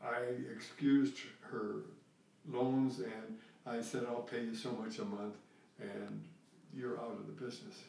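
A man talks at a fairly slow pace and a medium pitch, with noticeable background noise. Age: 80s+. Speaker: former summer camp attendee. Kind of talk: reminiscing interview. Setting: in-person interview at home.

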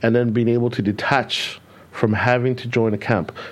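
With an American accent, a man talks at medium pitch. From California, US. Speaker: podcast co-host. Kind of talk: casual chat.

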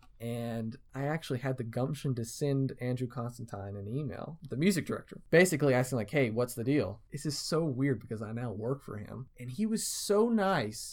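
An unremarkable speaking voice from a man with an American accent, a medium pitch and ordinary pitch variation. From US South, Asheville, North Carolina. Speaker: orchestra conductor. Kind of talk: casual interview. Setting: studio.

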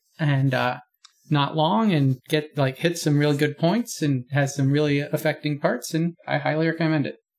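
A man with an ordinary speaking voice and an American accent talks at a moderate pace, fairly high in pitch with fairly even intonation. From rural Pennsylvania. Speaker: podcast guest. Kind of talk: casual chat.

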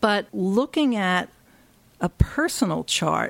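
A normal speaking voice from a woman with an American accent, at a fairly slow pace. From US, Philadelphia. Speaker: feng shui consultant and Chinese astrologer. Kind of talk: interview.

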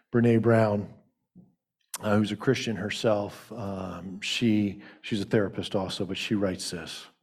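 In a room with audible echo, a man speaks fairly slowly at a fairly low pitch with monotone, flat intonation. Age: 50s. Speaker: co-pastor. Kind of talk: sermon. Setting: church.

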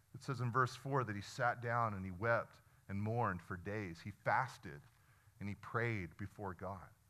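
A man speaks with a bright, sharp tone at a fairly low pitch. The background is quiet. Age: 40s. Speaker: pastor. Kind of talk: sermon. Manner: casual.

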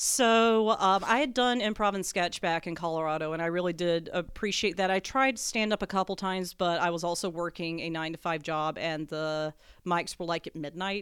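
An unremarkable speaking voice from a woman with an American accent, fairly low in pitch, at a moderate pace with hardly any pauses. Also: ordinary pitch variation, very clean recording, silent background. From US South, rural North Carolina. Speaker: comedian. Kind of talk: casual chat.

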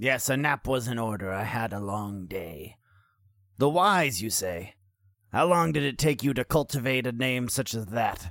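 A man in a put-on character voice, with a medium pitch, very wide pitch swings, and a moderate pace, on a very clean recording with a silent background. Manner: boastful, blunt, swaggering.

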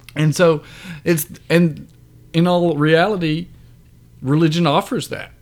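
Music plays behind a high-pitched man with an American accent who speaks with fairly even intonation and long, frequent pauses. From US South. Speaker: podcast co-host. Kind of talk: casual chat.

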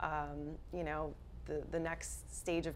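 A woman speaks with an American accent in a space with audible room echo. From US, Potomac, Maryland. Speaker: interviewer. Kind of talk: interview. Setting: office.

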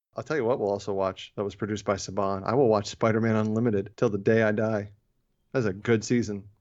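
This man talks at a very fast pace in a fairly low pitch. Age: 30s. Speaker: podcast co-host. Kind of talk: casual chat. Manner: animated.

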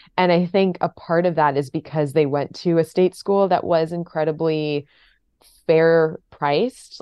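In an ordinary speaking voice, a woman speaks at a fairly slow pace. Her pitch is fairly low, and her intonation is fairly even. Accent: American. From US South, Florida (Fort Lauderdale area). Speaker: actor and podcast host. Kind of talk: casual interview chat.

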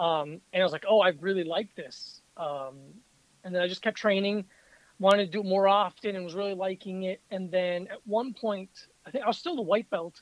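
A woman's normal speaking voice in an American accent, medium in pitch, at a fairly quick pace, with ordinary pitch variation and big swings in loudness. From US South, South Florida. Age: 30s. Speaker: martial arts fighter and coach. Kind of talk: casual interview.

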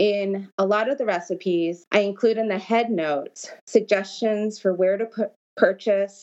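A woman talks at a fairly slow pace. She has an unremarkable speaking voice at a medium pitch. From US West Coast, Los Angeles. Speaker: chef and cookbook author. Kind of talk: interview.

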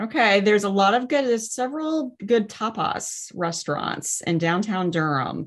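Against a quiet background, a woman talks at a moderate pace and medium pitch in an ordinary speaking voice. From moved around, US military family. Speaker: professor of New Testament. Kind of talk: interview conversation. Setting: video call.

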